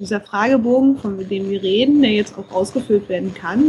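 Here is a woman with a plain, everyday voice. She pitches it fairly high and varies it in an ordinary way. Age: 30s. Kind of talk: interview.

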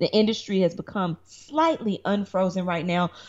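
A woman speaks with a Southern US accent. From Tennessee, Chattanooga. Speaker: lawyer, actress and reality show producer. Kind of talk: interview. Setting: remote call.

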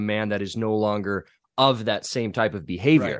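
A man with a normal speaking voice talks at a medium pitch with ordinary pitch variation, in a dry, close sound with no echo and a quiet background. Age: 20s. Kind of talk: casual chat.

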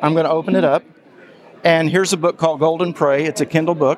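High-pitched male speech over noticeable background noise. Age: 70s. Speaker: assistive software developer. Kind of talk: product demo interview.

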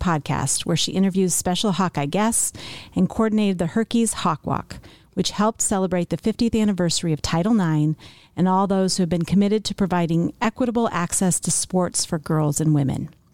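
A woman's medium-pitched, plain, everyday voice with ordinary pitch variation, in a dry, close sound with no echo. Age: 50s. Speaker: podcast host. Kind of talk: casual chat; reading aloud.

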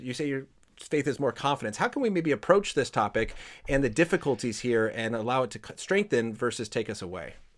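A man with an ordinary speaking voice, medium pitch, lively intonation and a fairly quick pace. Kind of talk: interview discussion on Bible. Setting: online livestream with audience.

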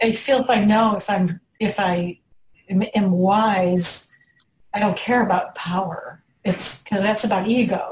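A woman talks at a fairly slow pace with fairly even intonation. Hers is an unremarkable speaking voice. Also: medium pitch for a woman. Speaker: person in recovery. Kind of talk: group discussion.

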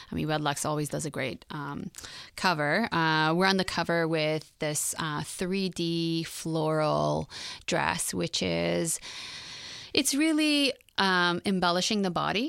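Against a silent background in a very clean recording, a woman speaks at a very slow pace. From Iran and England, moved to Canada at sixteen. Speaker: fashion designer. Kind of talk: interview. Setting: studio.

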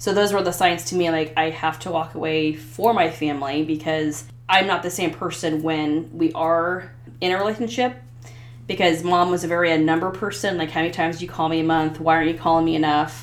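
A woman with a Midwestern American accent talks at a fairly quick pace and a fairly low pitch. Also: ordinary pitch variation. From US Midwest (Ottumwa, southeast Iowa). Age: 40s. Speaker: podcast guest sharing personal story. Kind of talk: casual interview, personal testimony. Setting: host's basement.

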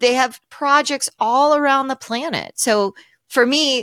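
A woman with an American accent speaks at a fairly slow pace in a bright, sharp tone. Her intonation is lively, and the sound is dry and close with no echo. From US West Coast, Los Angeles. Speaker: author. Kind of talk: interview. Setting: video call.

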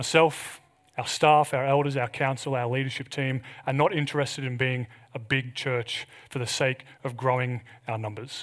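At a moderate pace, a man with an Australian accent speaks at a medium pitch on a very clean recording with a silent background. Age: 30s. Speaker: pastor. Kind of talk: sermon.

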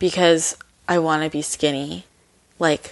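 The speaker is a woman. She has a Californian accent. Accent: Californian American. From US West Coast, San Francisco Bay Area. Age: 20s. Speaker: wellness blogger. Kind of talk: casual interview.

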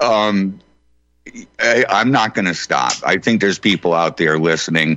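A man speaks fairly slowly in a plain, everyday voice, fairly low in pitch. His loudness stays very even, and his pitch varies in an ordinary way. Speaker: radio show host guest. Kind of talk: casual chat.

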